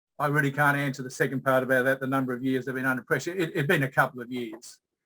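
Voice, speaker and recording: This man talks at a very fast pace with an Australian accent, a medium pitch, fairly even intonation and a bright, sharp tone. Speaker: change management consultant presenting a case study. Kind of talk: workshop presentation. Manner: halting, many fillers.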